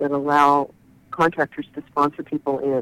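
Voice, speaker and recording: A woman's very deep, low voice in a dry, close sound with no echo. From Northern California (Chico). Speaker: trade association executive director. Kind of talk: interview.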